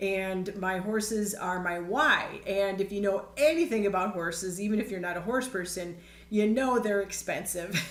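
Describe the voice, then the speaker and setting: With audible room echo, a woman talks at a moderate pace in a medium pitch, using ordinary pitch variation. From Chicago area, US. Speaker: network marketing trainer. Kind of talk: online training presentation. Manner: casual, conversational.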